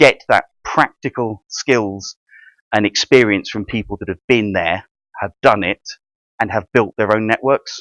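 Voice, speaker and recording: A man speaks with a British accent in a dry, close sound with no echo. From UK. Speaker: networking and funding advisor, workshop speaker. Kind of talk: presentation to a room of trainees. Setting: meeting room with audience. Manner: fast.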